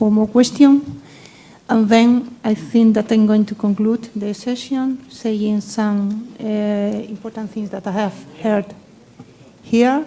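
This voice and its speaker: Fairly slow speech with fairly even intonation over noticeable background noise. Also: woman. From Spain. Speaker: session chair. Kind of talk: panel discussion.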